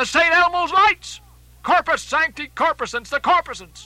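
Using a put-on character voice, a man speaks at an extremely high pitch in a bright, sharp tone, at a moderate pace with ordinary pitch variation.

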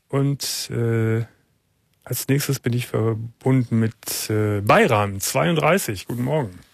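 Slow and with vocal fry, a man speaks at medium pitch with ordinary pitch variation.

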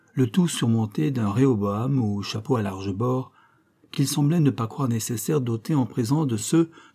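A reading voice that is unforced

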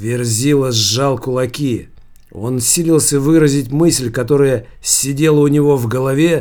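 A natural reading voice is heard throughout.

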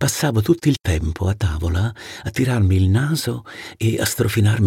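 The reading voice sounds unforced. Lively intonation runs through it.

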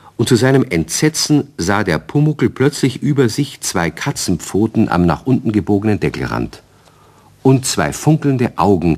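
A man talks at a moderate pace, his pitch making big swings.

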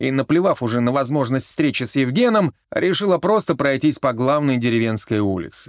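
Lively intonation comes through in an unforced reading voice.

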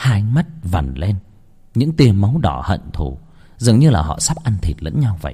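Someone does plain reading aloud.

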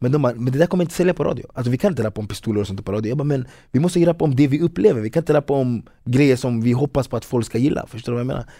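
The voice has a dark, mellow tone and ordinary pitch variation. It moves at a very fast pace on a very clean recording with a silent background. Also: man, medium pitch for a man. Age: 30s. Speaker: footballer and rapper. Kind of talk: casual interview.

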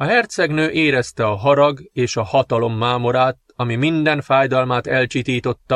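Someone reads a text aloud. The voice sounds natural.

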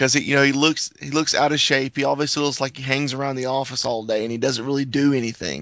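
Very fast with hardly any pauses, a man speaks at a medium pitch with fairly even intonation. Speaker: podcast co-host. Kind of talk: casual chat.

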